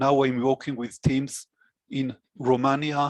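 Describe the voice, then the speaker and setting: A man with an Israeli accent and a fairly high pitch, in a dry, close sound with no echo. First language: Hebrew. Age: 60s. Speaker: database administrator. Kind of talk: interview. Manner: halting.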